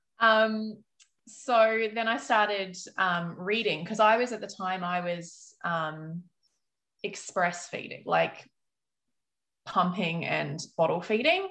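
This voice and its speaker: Speaking at a very slow pace with long, frequent pauses, a woman has a medium pitch, a bright, sharp tone and ordinary pitch variation. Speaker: author. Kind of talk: casual interview chat. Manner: many fillers (um, like).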